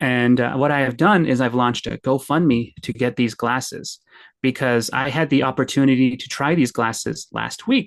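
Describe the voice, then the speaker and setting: Speaking at a moderate pace with a Canadian accent, a man has an unremarkable speaking voice of medium pitch with ordinary pitch variation. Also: quiet background. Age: 30s. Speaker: blind stand-up comedian. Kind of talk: podcast interview. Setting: podcast recording with microphones.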